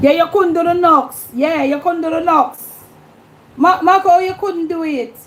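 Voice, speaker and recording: In a Jamaican accent, a woman with an extremely high voice speaks at a moderate pace with fairly even intonation. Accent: Jamaican patois. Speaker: YouTube livestream host. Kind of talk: casual livestream chat.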